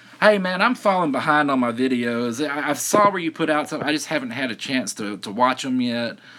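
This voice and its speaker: Speaking with a Southern US accent, a man uses a fairly high pitch with very wide pitch swings. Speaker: silver stacking livestreamer. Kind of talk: casual chat. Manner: halting.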